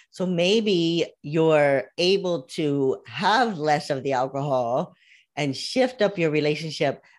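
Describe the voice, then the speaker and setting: A woman with a very deep, low pitch and an American accent at a very slow pace. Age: 60s. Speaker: life coach. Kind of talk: interview.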